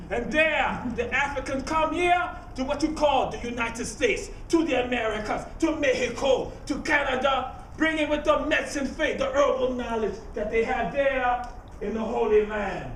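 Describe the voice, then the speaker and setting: A man with a Geechee accent speaks at a moderate pace in an extremely high pitch, with ordinary pitch variation and noticeable background noise. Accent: Geechee Gullah inflected Southern US English. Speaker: griot, living historian. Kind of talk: storytelling performance to a live audience.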